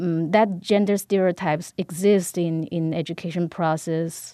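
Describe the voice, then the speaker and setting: Someone with a Chinese accent speaks at a fairly slow pace in a dark, mellow tone with fairly even intonation. The background is quiet. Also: woman. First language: Mandarin Chinese. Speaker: professor. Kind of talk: interview.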